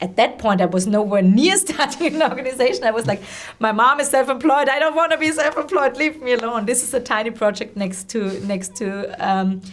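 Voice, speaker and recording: A woman with a German accent speaks in a high voice with lively intonation, over noticeable background noise. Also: fairly quick pace. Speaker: social entrepreneur and former teacher. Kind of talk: interview conversation. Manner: halting, many repetitions and fillers.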